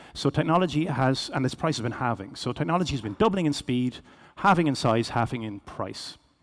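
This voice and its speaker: A man with a Cork accent talks at a medium pitch and a fairly quick pace, his intonation lively. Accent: Irish, Cork. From Ireland, Cork. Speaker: business executive, keynote speaker. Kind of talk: keynote presentation. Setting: stage with audience. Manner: fast.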